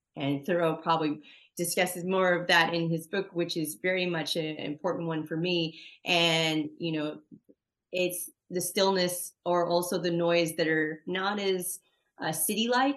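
A plain, everyday voice from a woman, fairly low in pitch, at a moderate pace with fairly even intonation. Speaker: podcast host. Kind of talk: casual interview.

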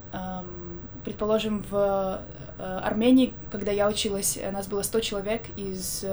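Audible room echo surrounds a woman speaking at a medium pitch. Her pace is fairly slow and her intonation monotone and flat. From Belarus, Minsk. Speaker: university student. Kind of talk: casual chat. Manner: hesitant, many fillers.

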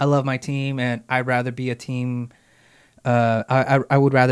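On a very clean recording with a silent background, a man with an American accent speaks in a plain, everyday voice at a moderate pace. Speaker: podcast host. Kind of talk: casual podcast chat. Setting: studio.

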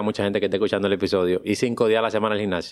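A man is speaking. His pitch is fairly low. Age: 40s. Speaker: podcast host, pediatrician and productivity mentor. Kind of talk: interview.

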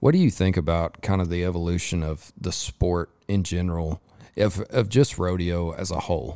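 A man with a West Texas accent, a very deep, low pitch, a dark, mellow tone, ordinary pitch variation and a moderate pace on a very clean recording with a silent background. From West Texas (Lubbock). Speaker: podcast host. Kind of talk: casual interview chat; sponsor read. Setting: recording at a resort during a rodeo.

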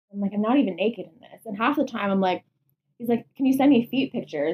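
In a Canadian accent, a woman speaks at a very fast pace and a fairly high pitch. Her voice is somewhat breathy, with lively intonation. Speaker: podcast host. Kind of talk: casual chat. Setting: at home, in bedroom.

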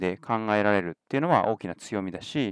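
A man with an unremarkable speaking voice, fairly low in pitch, with lively intonation and a dry, close sound with no echo on a very clean recording against a silent background. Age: 30s. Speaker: podcast host and tech company CEO. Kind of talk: solo podcast monologue. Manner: casual with many fillers.

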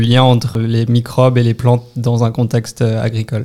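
Monotone, flat intonation marks the man's dark, mellow tone. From Brittany, northwest France. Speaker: PhD student in microbial ecology. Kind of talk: interview.

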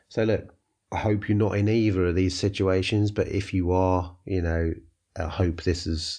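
Against a quiet background, a man with a very deep, low, somewhat breathy voice and a dark, mellow tone talks at a fairly slow pace with fairly even intonation. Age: 50s. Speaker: podcast host, franchise business owner. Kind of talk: solo podcast monologue. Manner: conversational, with filler words.

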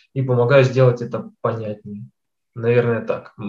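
A somewhat breathy man's voice at medium pitch. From Kazakhstan. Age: 20s. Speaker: data scientist. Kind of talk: interview.

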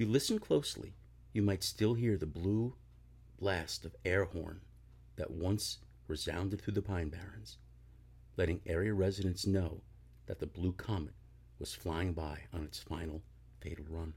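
Very deep and low in pitch, a man speaks at a moderate pace with vocal fry and ordinary pitch variation. He leaves long, frequent pauses, on a very clean recording with a silent background. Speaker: podcast host reading aloud. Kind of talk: ghost story telling, read aloud in a hushed, spooky narrator style. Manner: self-deprecating, casual, slightly halting at the end.

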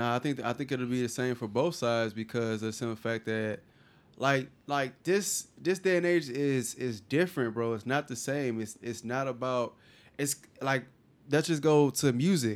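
Here is a man with an American accent and a normal speaking voice. His medium pitch shows ordinary variation at a moderate pace. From California. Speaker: podcast co-host. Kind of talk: casual chat.

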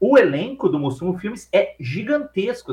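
A man speaks, his pitch swinging very widely up and down. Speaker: film podcast host. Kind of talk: casual chat.

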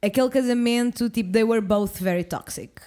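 The woman's fairly high voice moves at a fairly slow pace with ordinary pitch variation. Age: 20s. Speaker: podcast co-host. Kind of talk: casual chat. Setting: studio.

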